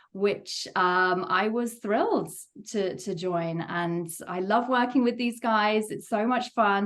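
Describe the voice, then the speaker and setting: At a fairly slow pace, a woman with an English accent speaks at a medium pitch with ordinary pitch variation. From England, Worcester. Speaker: game studio co-founder and producer. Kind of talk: interview.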